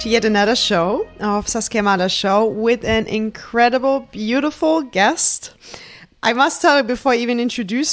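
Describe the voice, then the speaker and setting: This woman talks at a moderate pace with a fairly high pitch. Her pitch variation is ordinary. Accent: German. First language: German. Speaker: podcast host. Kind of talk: casual chat. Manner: animated.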